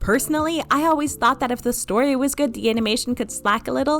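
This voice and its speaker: A woman's high voice at a very fast pace, with very wide pitch swings. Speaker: storytime animator and YouTuber. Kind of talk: vlog-style commentary.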